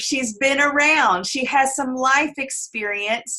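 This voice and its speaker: Pitched high and projected loudly, a woman's bright, sharp voice moves at a fairly slow pace with lively intonation. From Tennessee. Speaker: network marketing team leader. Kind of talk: team call introduction. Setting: video call.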